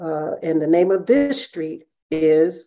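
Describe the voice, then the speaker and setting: The voice has a dark, mellow tone and an American accent. It moves at a fairly slow pace. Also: woman. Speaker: writer and presenter. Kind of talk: panel discussion.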